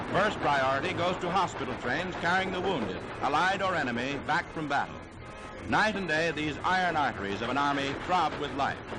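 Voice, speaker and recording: Music plays in the background as a man talks at a moderate pace. His pitch is fairly high and his intonation lively. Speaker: newsreel narrator. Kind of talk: newsreel narration. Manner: dramatic, emphatic.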